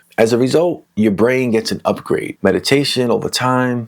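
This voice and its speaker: A man mumbles in a New York accent at a moderate pace with ordinary pitch variation. The recording is very clean, with a silent background. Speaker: mental health educator. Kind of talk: casual educational talk. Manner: mumbling; soft-spoken.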